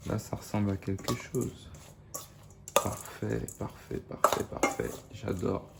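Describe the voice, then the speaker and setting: A man's fairly low voice at a very slow pace, with ordinary pitch variation and noticeable background noise. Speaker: cooking video host. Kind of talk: cooking tutorial. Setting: in bed at night. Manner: soft-spoken; hesitant.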